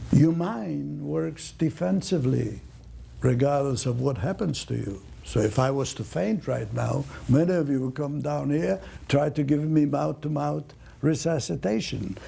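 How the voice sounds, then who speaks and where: Speaking at a fairly slow pace, a man has a dark, mellow tone at a medium pitch and sounds somewhat breathy. His pitch swings very widely. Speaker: Holocaust survivor. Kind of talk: talk answering audience questions.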